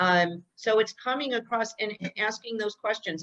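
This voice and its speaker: A loud woman's voice with a bright, sharp tone, moderate pace and ordinary pitch variation. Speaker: real estate trainer. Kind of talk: training session.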